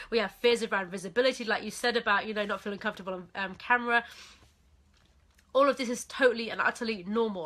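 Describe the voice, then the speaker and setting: A woman talks at a very fast pace in an animated, bright, sharp tone with a fairly high pitch. The recording is very clean, with a silent background. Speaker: business coach. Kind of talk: live stream training. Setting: Facebook live video.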